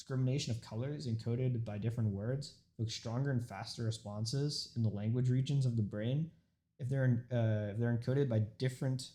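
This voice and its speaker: With a dark, mellow tone and a somewhat breathy quality, a man speaks at medium pitch and a fairly quick pace, his intonation fairly even. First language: Urdu. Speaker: student. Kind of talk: informative speech. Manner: halting.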